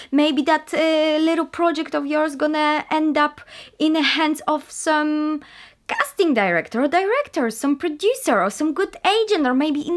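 A woman speaks at a high pitch. The background is quiet. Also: ordinary pitch variation, moderate pace. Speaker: actress vlogger. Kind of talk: casual vlog chat. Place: home room. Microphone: webcam.

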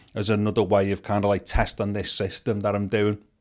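A man's fairly low voice at a fairly quick pace, on a very clean recording with a silent background

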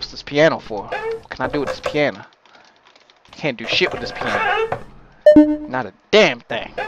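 A man talks at a fairly slow pace, with music playing in the background. The sound is dry, with no echo. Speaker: gamer. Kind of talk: gameplay commentary. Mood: joking, mildly spooked. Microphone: headset.

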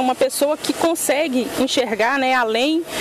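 Ordinary pitch variation at a moderate pace, with a dry sound with no echo and loud background noise. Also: woman. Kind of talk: interview answer. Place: street.

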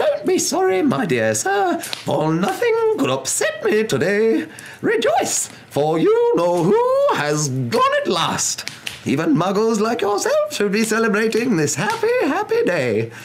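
A put-on, squeaky character voice moves at a fairly slow pace over clear background noise. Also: man, high pitch for a man. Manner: joyful, elated.

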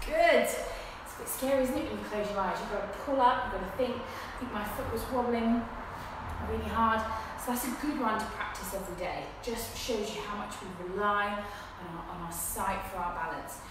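Through strong room echo and noticeable background noise, a woman speaks at a moderate pace with a fairly high pitch and ordinary pitch variation. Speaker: fitness instructor. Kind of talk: guided exercise class. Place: gym. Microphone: camera far.

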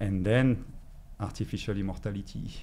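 A man speaks with a French accent and a fairly low pitch. His pace is fairly quick, with light background noise behind him. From France. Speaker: energy healer. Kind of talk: interview. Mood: warm, reflective, smiling. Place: studio. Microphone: studio mic.

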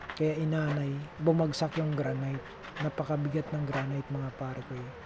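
A man talks in a fairly high voice while noticeable background noise carries on behind him. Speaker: handyman vlogger. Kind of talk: casual vlog. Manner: slurred speech.

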